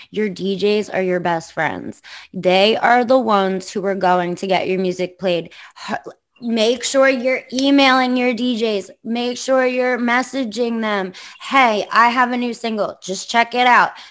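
A woman with an American accent talks at a fairly slow pace and a fairly high pitch. She has an unremarkable speaking voice with ordinary pitch variation. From Long Island, New York. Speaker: podcast host and DJ. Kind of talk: casual interview chat.

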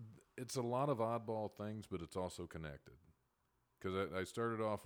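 A man speaks at a moderate pace with a Midwestern American accent. His pitch varies in an ordinary way. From Ohio, near Dayton. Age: 40s. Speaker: stand-up comedian. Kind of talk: casual interview.

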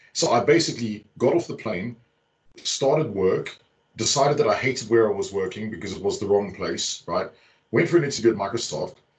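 A somewhat breathy voice belongs to this man. He speaks at a very fast pace, his intonation lively. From South Africa. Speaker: tech architect and community figure. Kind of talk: casual chat. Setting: video call.

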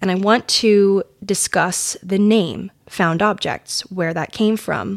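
The recording is very clean, with a silent background. A woman speaks at a medium pitch with ordinary pitch variation. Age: 20s. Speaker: podcast host. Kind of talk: casual monologue; storytelling. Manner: chatty, laughing.

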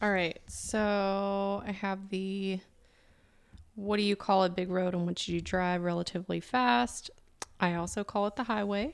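With a slight Southern US accent, a woman speaks at a fairly slow pace and medium pitch with fairly even intonation, recorded very cleanly against a silent background. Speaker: podcast host. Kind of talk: casual chat.

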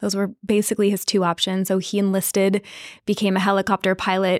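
Very fast and at medium pitch, a woman speaks in a very clean recording with a silent background and a dry, close sound with no echo. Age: 30s. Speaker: dating and relationship coach. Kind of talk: casual chat.

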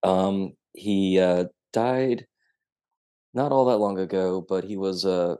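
Speaking with a Southern US accent, a man uses a very deep, low pitch and a dark, mellow tone. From Tennessee. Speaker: novelist. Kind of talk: casual interview.

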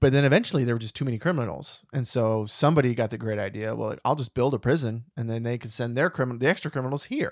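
The speech rushes along at a very fast pace with hardly any pauses. Pitch varies in an ordinary way. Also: man, medium pitch for a man. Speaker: movie podcast host. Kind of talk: casual chat.

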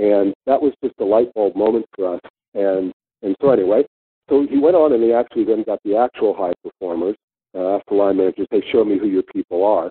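Delivered at a fairly quick pace in an American accent, this is a plain, everyday voice with ordinary pitch variation. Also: man, fairly low pitch for a man. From San Francisco, Northern California. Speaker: tech company founder and CEO. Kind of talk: interview.

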